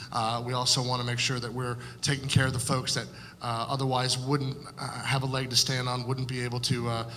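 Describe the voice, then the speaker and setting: A man with an American accent talks at a fairly quick pace, at medium pitch, in a monotone, flat intonation. There is audible room echo and noticeable background noise. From Florida (Fort Pierce). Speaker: political candidate. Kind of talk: candidate forum opening statement. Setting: public forum with audience. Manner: frequent filler words (uh, um).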